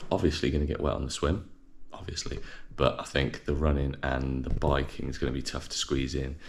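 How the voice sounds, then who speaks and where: A man speaks with an English accent. Room echo is audible. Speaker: fitness vlogger and amateur triathlete. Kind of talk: casual vlog. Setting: at home early morning.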